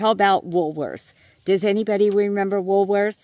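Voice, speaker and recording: A woman speaks with a New York accent. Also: dry, close sound with no echo. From New York City. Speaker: YouTuber. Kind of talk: voice-over monologue. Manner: hesitant.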